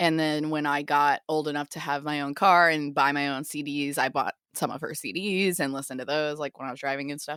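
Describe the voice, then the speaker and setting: A woman's very deep, low voice with fairly even intonation and hardly any pauses, on a very clean recording with a silent background. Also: fairly quick pace. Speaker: podcast co-host. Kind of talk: casual chat.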